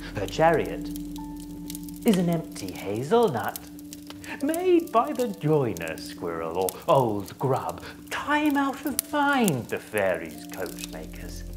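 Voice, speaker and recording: A man speaks fairly slowly, with clear music audible behind him. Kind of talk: Shakespearean stage speech. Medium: solo performance.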